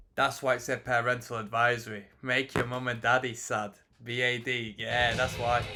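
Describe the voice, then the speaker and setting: A man's flat, monotone delivery at a moderate pace, with music in the background. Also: medium pitch for a man. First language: not English. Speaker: music reaction youtuber. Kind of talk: casual live commentary.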